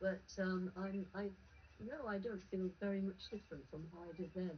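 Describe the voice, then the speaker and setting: Noticeable background noise behind a woman talking at medium pitch. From northern England. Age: 80s+. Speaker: tobacco control campaigner. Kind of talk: interview.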